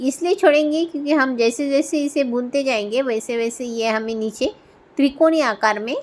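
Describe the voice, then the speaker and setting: With a Marathi accent, a woman talks with ordinary pitch variation. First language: Marathi (speaking Hindi). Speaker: craft tutorial creator. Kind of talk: tutorial.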